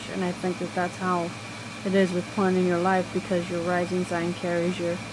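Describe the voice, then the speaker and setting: A soft-spoken voice moves at a moderate pace. Both noticeable background noise and audible room echo are present. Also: woman. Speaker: astrology vlogger. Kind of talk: casual monologue. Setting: semi-dark room.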